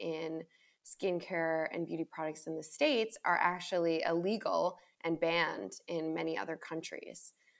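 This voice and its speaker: In a normal speaking voice, a woman talks at a fairly slow pace with fairly even intonation. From Long Island, New York. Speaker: skincare company founder. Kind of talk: interview.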